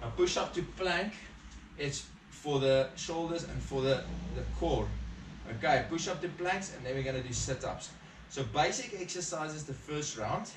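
A man speaks with long, frequent pauses. Noticeable background noise runs behind him. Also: moderate pace. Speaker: fitness instructor. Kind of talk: workout instruction. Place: garage. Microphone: camera far.

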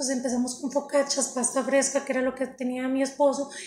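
At a fairly quick pace, a woman speaks in a high voice with a slightly mellow tone.

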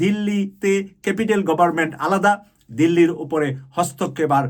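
A man speaks at a high pitch. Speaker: YouTube political commentator. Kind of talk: political commentary monologue.

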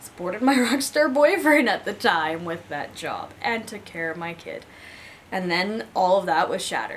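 Amid light background noise, a woman talks at a moderate pace with very wide pitch swings and big swings in loudness. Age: 30s. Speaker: person living with chronic illness; interviewee. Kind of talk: personal testimony interview. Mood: candid, reflective. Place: home room.

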